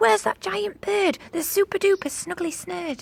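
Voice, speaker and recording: A woman puts on a character voice, high-pitched with very wide pitch swings. She speaks at a moderate pace, and the sound is dry and close with no echo. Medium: read story.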